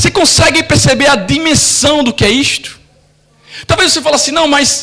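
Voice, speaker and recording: A man's raised, projected voice at a fairly quick pace over noticeable background noise. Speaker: pastor. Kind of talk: sermon. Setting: church.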